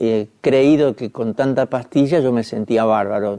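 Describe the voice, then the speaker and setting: A man talks at a fairly slow pace. His tone is dark and mellow, with ordinary pitch variation. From Argentina. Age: 60s. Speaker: journalist giving testimony. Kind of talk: testimony. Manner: halting, frequent fillers.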